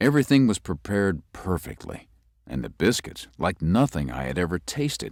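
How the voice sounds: Using a put-on character voice, a man speaks low at a moderate pace with big pitch swings, in a very clean recording with a silent background.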